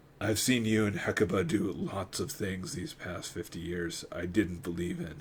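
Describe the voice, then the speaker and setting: Over clear background noise, a man puts on a raspy, rumbling character voice at fairly low pitch, with lively intonation at a moderate pace. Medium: read story. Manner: gruff, skeptical.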